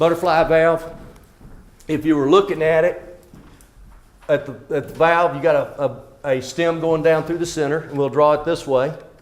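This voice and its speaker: In a room with audible echo, a man speaks at a moderate pace with a fairly high pitch and a flat, monotone intonation. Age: 60s. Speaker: water systems trainer. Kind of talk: lecture. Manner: casual, conversational.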